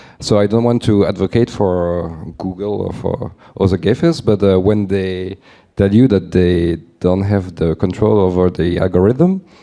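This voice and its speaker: The voice has a dark, mellow tone and a French accent. It moves at a moderate pace with fairly even intonation. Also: man, very deep, low pitch for a man. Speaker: audience member asking a question. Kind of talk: audience question. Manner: halting.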